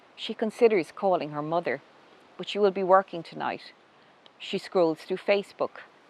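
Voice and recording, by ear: The pitch shifts in an ordinary way. A person is reading aloud in a natural voice.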